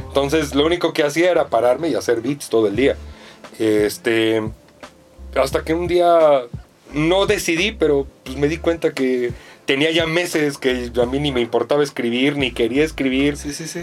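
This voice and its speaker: A man's fairly high voice at a moderate pace with ordinary pitch variation, over noticeable background noise. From US, New York (Spanish Harlem). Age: 30s. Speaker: music producer. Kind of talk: casual chat.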